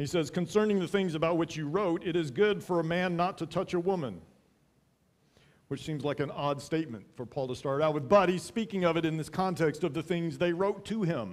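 At a fairly quick pace, a man speaks in a high pitch with ordinary pitch variation. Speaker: pastor. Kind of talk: sermon. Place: church. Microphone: headset.

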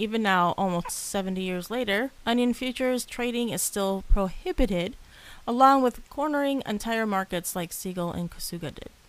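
A woman with a normal speaking voice talks at a moderate pace, her fairly high pitch carrying lively intonation. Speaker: podcast co-host. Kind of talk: casual chat.

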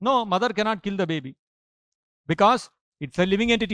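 A man talks fairly quickly in a high pitch, with ordinary pitch variation. The sound is dry with no echo, over a quiet background. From India. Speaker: monk lecturer. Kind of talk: lecture. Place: church. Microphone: podium.

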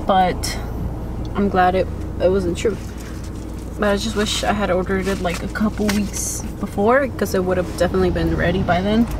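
In a dry recording with no echo but noticeable background noise, a woman talks with long, frequent pauses. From Mexico. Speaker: vlogger. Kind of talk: vlog. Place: car. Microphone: phone near.

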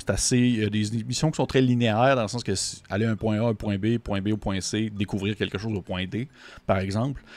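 Speaking in a Quebec accent, a man keeps a fairly low pitch, fairly even intonation and a moderate pace, in a dry sound with no echo. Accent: Québécois French. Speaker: tabletop RPG reviewer. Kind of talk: video review monologue. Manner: hesitant, with frequent fillers and repetitions. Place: home room. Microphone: studio mic.

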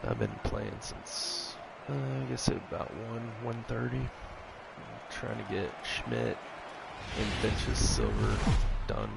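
Music plays in the background as a man talks at a very slow pace. His pauses are long and frequent. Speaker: gamer. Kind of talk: casual gameplay chat. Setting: video game recording. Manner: excitable, anxious, swears when frustrated.

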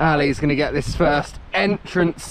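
Noticeable background noise sits behind a man whose sound is dry, with no echo. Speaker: mountain biker vlogger. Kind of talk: casual vlog chat. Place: forest. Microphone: phone near.

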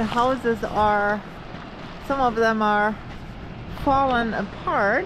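Over clear background noise, a woman speaks slowly with fairly high pitch and fairly even intonation.

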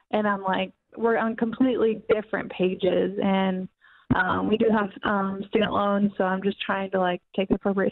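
An unremarkable speaking voice. The intonation stays fairly even. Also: woman. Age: 20s. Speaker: caller. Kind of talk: casual chat.

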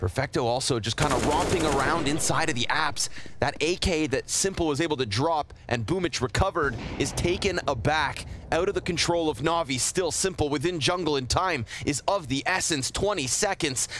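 Over noticeable background noise, a man talks in a fairly high pitch with ordinary pitch variation and very even loudness. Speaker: esports caster. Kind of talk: live commentary. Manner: fast talker; excitable.

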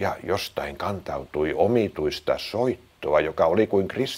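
Lively intonation comes through in an unforced reading voice.

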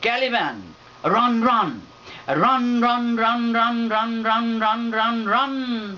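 A man speaks at a very slow pace, his pitch extremely high. His loudness stays very even and his intonation fairly even. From Bangladesh. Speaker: poet. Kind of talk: poetry reading. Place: home room. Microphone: camera far.

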